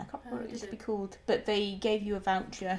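Noticeable background noise runs through the clip. Over it, a woman talks at a very fast pace. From rural England. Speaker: podcast co-host. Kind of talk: casual chat.

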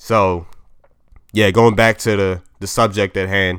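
A man speaks with an American accent. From US, Maryland. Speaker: podcast host. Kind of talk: solo podcast monologue. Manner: casual, halting.

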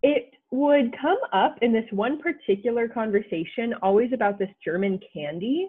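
A woman with an American accent, fairly high in pitch, with lively intonation, a moderate pace and hardly any pauses. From United States. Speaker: college student. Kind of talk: interview. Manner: hesitant, many filler words.

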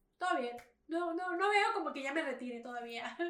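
A woman's high-pitched voice, bright and sharp in tone, with lively intonation, a fairly quick pace and audible room echo. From Mexico. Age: 20s. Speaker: cosplayer and streamer. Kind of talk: casual chat.

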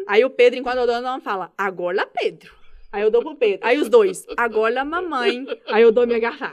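A woman talks with a high pitch. Her intonation is lively. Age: 30s. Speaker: public servant and mother. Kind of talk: casual interview chat. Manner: fast, talkative.

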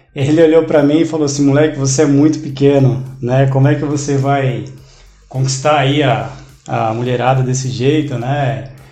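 A man speaks at a moderate pace in a fairly high pitch with a monotone, flat delivery, over noticeable background noise and audible room echo. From Brazil, São Paulo area (São Caetano do Sul). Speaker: interviewee sharing life story. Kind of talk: casual interview chat.

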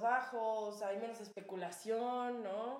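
The speaker is a woman. Her pitch is fairly high. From Cuernavaca, Mexico. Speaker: podcast co-host. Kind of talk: casual chat.

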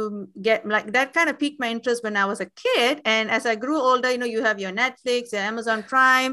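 Bright and sharp in tone, a woman talks at a high pitch and fairly quick pace with fairly even intonation. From Singapore. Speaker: Tamil language educator. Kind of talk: casual interview.

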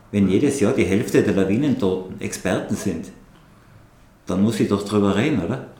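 Speaking at a moderate pace, a man uses lively intonation and a fairly low pitch. He leaves long, frequent pauses, and audible room echo is present. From Tyrol, Austria (Absam near Hall). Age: 60s. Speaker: mountain guide and avalanche expert. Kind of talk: podcast interview.

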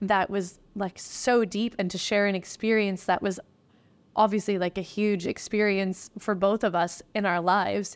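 An ordinary speaking voice from a woman, medium in pitch with ordinary pitch variation, at a moderate pace on a very clean recording with a silent background. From East Coast of Canada. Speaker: restaurant manager. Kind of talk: interview.

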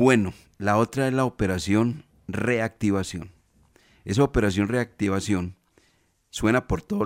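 A man with a fairly low pitch talks at a moderate pace with ordinary pitch variation and long, frequent pauses. The recording is very clean, dry and close, with no echo and a silent background. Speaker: sports radio host. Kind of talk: radio sports talk show.

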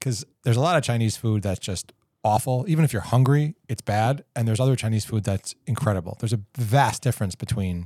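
With an American accent, a man speaks at a very fast pace with hardly any pauses, his medium-pitched voice somewhat breathy with a dark, mellow tone and ordinary pitch variation, on a very clean, dry, close recording with no echo and a silent background. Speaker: podcast co-host. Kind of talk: casual chat.

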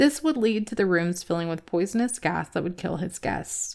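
A woman's medium-pitched, normal speaking voice, with ordinary pitch variation and a fairly quick pace, on a very clean recording with a silent background. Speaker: podcast host. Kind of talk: true-crime narration, scripted-sounding storytelling with light humor. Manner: measured, storytelling pace, conversational and wry; ominous, building suspense in the narration.

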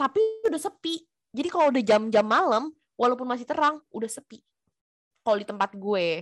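A high-pitched woman speaks at a fairly quick pace with long, frequent pauses, very wide pitch swings and big swings in loudness. The sound is dry and close, with no echo. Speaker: podcast co-host. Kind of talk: casual chat.

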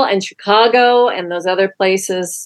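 This woman has an ordinary speaking voice. She talks at a fairly slow pace with ordinary pitch variation. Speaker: executive producer and co-host. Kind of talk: podcast intro and co-hosting chat.

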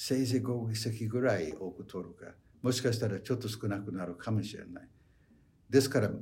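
With music in the background and audible room echo, a man talks at a fairly quick pace with lively intonation. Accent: English. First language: English (speaking Japanese). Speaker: professor emeritus of political science. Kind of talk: lecture.

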